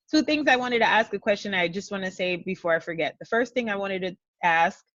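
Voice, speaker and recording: A woman with an American accent speaks very fast with lively intonation against a quiet background. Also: medium pitch for a woman. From New York (Brooklyn). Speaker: language blogger. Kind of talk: interview. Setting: video call.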